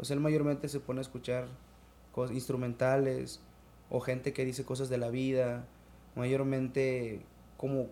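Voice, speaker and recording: Pausing long and often, a man at medium pitch speaks fairly slowly in a dark, mellow tone. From Mexico, Quintana Roo (Chetumal). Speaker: rapper. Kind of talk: casual chat.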